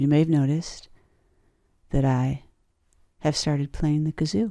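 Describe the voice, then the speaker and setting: A woman speaks in a very deep, low, sing-song voice with a dark, mellow tone. Her loudness stays very even, and the recording is very clean with a silent background. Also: ordinary pitch variation, moderate pace. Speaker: podcasting tutorial creator. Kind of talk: tutorial.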